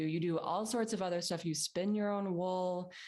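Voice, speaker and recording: Her voice is an unremarkable speaking voice, fairly low for a woman, with fairly even intonation and a moderate pace. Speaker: podcast host. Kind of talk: interview question.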